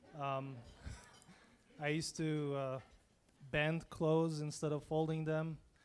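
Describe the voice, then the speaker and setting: At a very slow pace, a man with a non-native accent speaks at a fairly high pitch in a monotone, flat intonation. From abroad. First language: not English. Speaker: entrepreneur. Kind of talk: panel talk.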